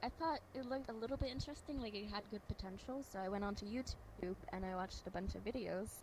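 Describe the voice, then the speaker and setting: Shaky and very fast with hardly any pauses, a woman speaks at a medium pitch with ordinary pitch variation over noticeable background noise. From Denmark. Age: 20s. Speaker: streamer. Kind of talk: interview.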